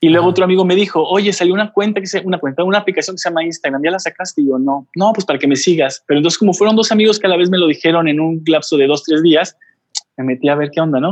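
Very fast speech from a man, high in pitch, with ordinary pitch variation. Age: 40s. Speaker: photographer and travel blogger. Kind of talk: casual interview.

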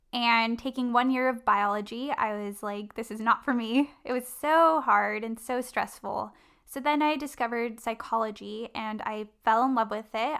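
On a very clean recording with a silent background, a woman speaks at a moderate pace and fairly high pitch. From Southern California (Orange County). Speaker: marketing specialist and traveler. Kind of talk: interview.

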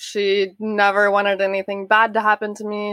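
Medium pitch from a woman with an Oklahoma accent at a moderate pace, in a dry, close sound with no echo. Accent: Oklahoma American. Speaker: guest's sister. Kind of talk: interview testimony.

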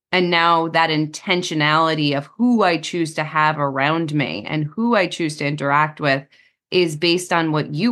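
A woman's very deep, low-pitched voice with an American accent and ordinary pitch variation. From US, New Jersey. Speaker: psychotherapist. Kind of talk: interview. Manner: direct.

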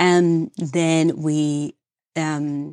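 A woman's very deep, low voice with a Peruvian accent and fairly even intonation, dry and close with no echo. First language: Spanish. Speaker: dentist. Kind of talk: casual interview chat. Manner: halting, emotional.

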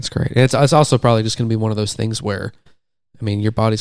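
This is an ordinary speaking voice. The intonation is fairly even. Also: man. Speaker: podcast host. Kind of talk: casual interview.

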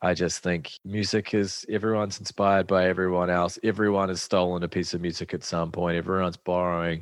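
Speaking at a fairly quick pace with hardly any pauses, a man uses a very deep, low pitch and monotone, flat intonation. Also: quiet background. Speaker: musician. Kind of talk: casual chat.

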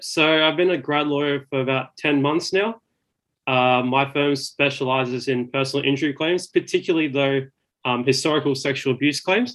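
This man has an Australian accent and a fairly high pitch, speaking at a moderate pace. His intonation is fairly even and his loudness very even. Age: 20s. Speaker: graduate lawyer. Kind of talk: casual interview chat.

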